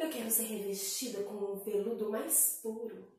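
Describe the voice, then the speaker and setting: A woman is speaking with strong room echo. The background is quiet. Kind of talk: storytelling to children. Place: home room. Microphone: camera far.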